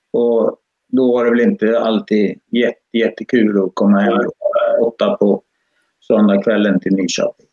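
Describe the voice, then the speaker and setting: Recorded dry and close with no echo, a man talks at a moderate pace with very even loudness. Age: 60s. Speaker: karting parent. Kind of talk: live-streamed interview.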